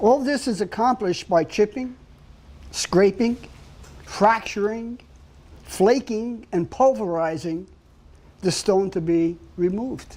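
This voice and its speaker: A man speaks at a very slow pace in a Brooklyn accent. His tone is dark and mellow, and his pitch is high. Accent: New York (Brooklyn). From New York City, Brooklyn. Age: 70s. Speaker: artist and sculptor. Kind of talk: casual talk about own artwork.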